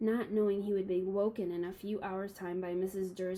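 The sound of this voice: An unforced reading voice carries the whole clip.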